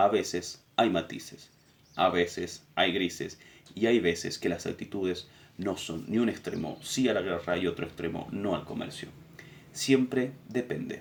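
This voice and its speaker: With an unremarkable speaking voice, a man of fairly low pitch talks at a fairly slow pace with ordinary pitch variation. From Argentina. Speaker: political education teacher. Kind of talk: lecture summary.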